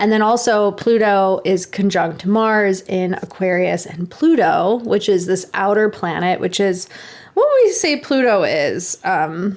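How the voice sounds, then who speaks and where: At a fairly slow pace, a woman talks in a normal speaking voice with medium pitch. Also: ordinary pitch variation. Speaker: podcast co-host. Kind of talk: casual chat.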